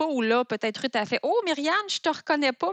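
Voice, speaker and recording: Against a quiet background, a woman's voice sounds dry and close with no echo, and her pitch varies in an ordinary way. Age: 40s. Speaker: food entrepreneur. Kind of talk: interview.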